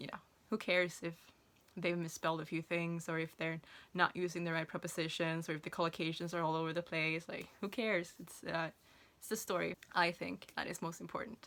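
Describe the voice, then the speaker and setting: The speaker's Swedish accent comes with monotone, flat intonation and big swings in loudness. The recording is very clean, with a silent background. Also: woman, fairly low pitch for a woman. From Sweden. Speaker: self-published author. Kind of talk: casual vlog talk. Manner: hesitant, many fillers and restarts.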